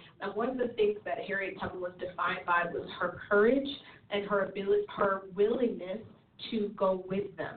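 A woman at medium pitch and moderate pace, fairly even in intonation, with noticeable background noise. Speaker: church leader panelist. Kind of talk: ministry teaching discussion. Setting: internet radio show.

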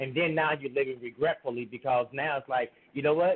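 A man with an ordinary speaking voice, fairly high in pitch, fairly quick and fairly even in intonation. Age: 40s. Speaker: podcast guest. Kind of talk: casual chat.

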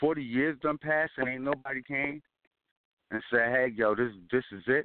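A man with a normal speaking voice talks at a moderate pace in a medium pitch with ordinary pitch variation. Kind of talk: casual chat.

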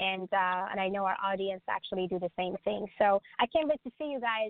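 This is a woman with an ordinary speaking voice. Her intonation is lively. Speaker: medium and author. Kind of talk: casual interview. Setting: radio show with phone-in.

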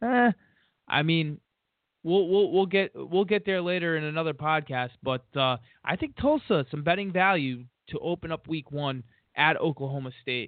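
A man speaks in an ordinary speaking voice with fairly high pitch. His pace is moderate and his intonation lively. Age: 30s. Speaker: sports betting podcast host. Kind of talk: solo podcast monologue.

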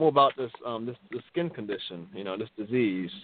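A man speaks in a normal speaking voice at a fairly quick pace, his intonation lively. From Baltimore, Maryland. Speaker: railroad electrician, vitiligo community member. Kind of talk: interview, personal story.

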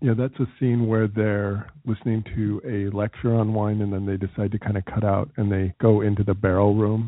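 Speaking at a fairly quick pace, a man uses an ordinary speaking voice with a fairly low pitch. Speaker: travel radio host. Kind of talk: radio dj patter, upbeat travel show banter and interviewing.

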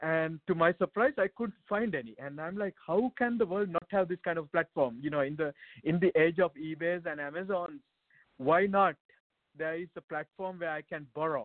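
A man's high-pitched voice at a moderate pace with ordinary pitch variation. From Sri Lanka. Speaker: tech startup founder. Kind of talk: interview. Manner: animated.

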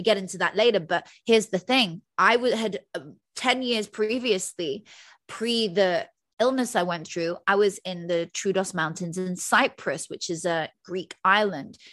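In a very clean recording with a silent background, a woman with a plain, everyday voice speaks at a medium pitch and a fairly slow pace with ordinary pitch variation. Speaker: motivational speaker. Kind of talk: interview.

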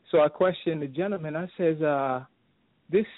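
A man's unremarkable speaking voice with an American accent, at a moderate pace and with ordinary pitch variation. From Brooklyn, New York. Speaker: caller. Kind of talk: call-in talk radio. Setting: phone call.

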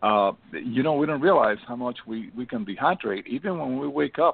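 A man in a normal speaking voice, medium in pitch, talks at a fairly quick pace with lively intonation. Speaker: doctor. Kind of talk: health talk show.

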